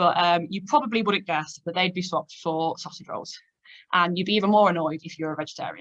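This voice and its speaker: A woman with a Leicester accent, fairly low in pitch, talking at a very fast pace with big swings in loudness. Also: ordinary pitch variation. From England, Leicester. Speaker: data analytics manager. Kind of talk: presentation. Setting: online video meeting.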